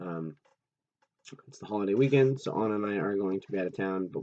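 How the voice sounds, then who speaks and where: A man is speaking. His voice is quiet. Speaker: youth pastor. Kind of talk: casual recap talk. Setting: recording at night at home. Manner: hesitant, many fillers.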